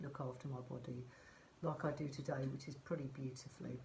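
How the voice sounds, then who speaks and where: With a southern English accent, a woman speaks at a moderate pace. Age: 60s. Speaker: life coach. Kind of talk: motivational vlog talk. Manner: conversational, with fillers.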